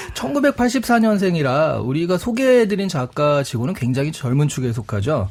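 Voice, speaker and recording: The voice swings very widely in pitch with hardly any pauses, over noticeable background noise. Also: man, fairly high pitch for a man. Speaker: book youtuber, regular guest. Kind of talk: radio book talk. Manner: fast; animated.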